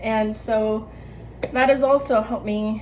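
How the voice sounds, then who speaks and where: Her voice sits at a fairly high pitch with fairly even intonation, and audible room echo surrounds this woman. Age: 20s. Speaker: vlogger giving life advice. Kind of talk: casual monologue vlog. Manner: casual, filler-heavy.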